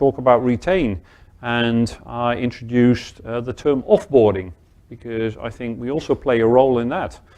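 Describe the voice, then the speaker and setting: This is a man with a medium pitch. His tone is dark and mellow. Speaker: conference speaker. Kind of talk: keynote talk.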